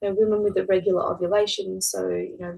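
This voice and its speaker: A woman speaks with an Australian accent. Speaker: fertility nutritionist. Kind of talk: webinar masterclass presentation. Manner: casual, many fillers.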